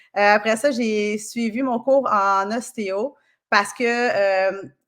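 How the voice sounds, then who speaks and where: A woman at a very slow pace with fairly even intonation, in a very clean recording with a silent background. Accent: Quebec. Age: 40s. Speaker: kinesiologist and osteopath. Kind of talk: podcast interview. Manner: casual, many fillers.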